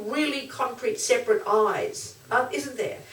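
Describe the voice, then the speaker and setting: A woman with an Australian accent speaks high and animated, her pitch swinging very widely. Noticeable background noise and audible room echo fill the recording. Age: 60s. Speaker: Buddhist nun and teacher. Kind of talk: dharma talk.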